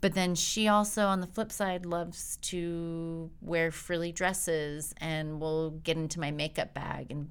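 Hers is an unremarkable speaking voice, fairly low for a woman, with fairly even intonation at a fairly slow pace. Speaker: podcast co-host. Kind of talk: casual interview chat.

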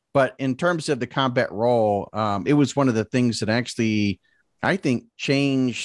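Recorded very cleanly against a silent background with a dry, close sound and no echo, a man with an American accent has a plain, everyday voice, ordinary pitch variation and a moderate pace. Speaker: podcast host. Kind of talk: casual interview chat.

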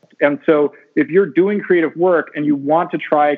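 A plain, everyday voice from a man, fairly high in pitch and at a fairly quick pace. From US West Coast, California. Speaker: science fiction author. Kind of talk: interview.

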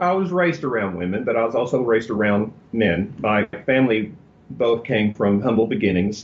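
A man speaks with a Texan accent. His intonation is lively and his pace moderate. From Texas. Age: 50s. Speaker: celebrity hairstylist and author. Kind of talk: interview. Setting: studio.

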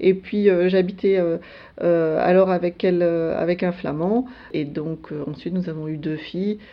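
Delivery is very slow. The intonation remains fairly even. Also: woman, fairly low pitch for a woman. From France, Alsace (Strasbourg). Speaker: EU civil servant, internal newsletter editor. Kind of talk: radio interview. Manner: hesitant, many fillers.

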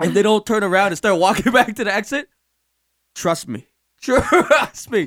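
In a dry, close sound with no echo, a man with a New York accent and a high pitch speaks at a moderate pace with ordinary pitch variation.

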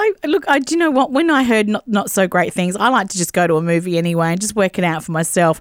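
Talking very fast with hardly any pauses, the speaker has an Australian accent and very wide pitch swings. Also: woman, medium pitch for a woman. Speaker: radio co-host. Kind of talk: casual radio chat. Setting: studio.

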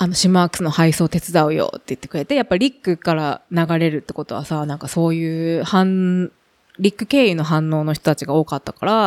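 A woman's normal speaking voice, fairly low in pitch with ordinary pitch variation, at a fairly quick pace, in a dry, close sound with no echo. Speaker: bicycle company representative. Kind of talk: casual chat.

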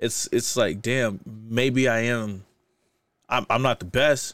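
A man with an American accent talks at a very slow pace and medium pitch. His intonation is fairly even, and the recording is very clean with a silent background. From US Midwest, Kansas City and Saint Louis, Missouri. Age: 30s. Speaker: DJ. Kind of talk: casual chat.

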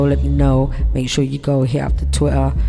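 The voice keeps a moderate pace. Noticeable background noise is present. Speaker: radio host. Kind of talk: radio show hosting between music tracks. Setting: online audio show on Clubhouse. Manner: casual, laid-back, chatty.

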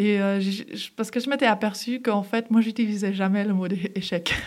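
Against a very clean recording and silent background, a woman with a fairly high pitch talks at a moderate pace in a monotone, flat way. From Geneva, Switzerland (from age 11). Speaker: former elite judoka and entrepreneur. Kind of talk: interview. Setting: studio.

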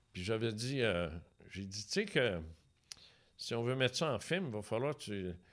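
A man with a Quebec accent speaks at a fairly slow pace with long, frequent pauses, using lively intonation at a medium pitch on a very clean recording with a silent background. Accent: Québécois French. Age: 70s. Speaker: retired radio host and UFO author. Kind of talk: casual interview.

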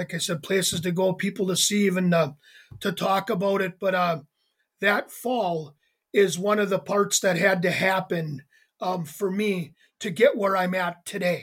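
Speaking with an American accent, a man with a high voice keeps his intonation fairly even at a moderate pace. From Wisconsin, US. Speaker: addiction ministry founder, former pro wrestler. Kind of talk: interview testimony. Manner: hesitant, many fillers.

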